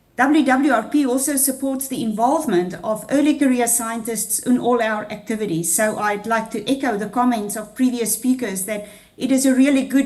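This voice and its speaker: A high voice from a woman, with the room's echo clearly heard. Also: ordinary pitch variation, moderate pace. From South Africa. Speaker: international research programme head. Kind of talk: welcome speech. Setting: video call.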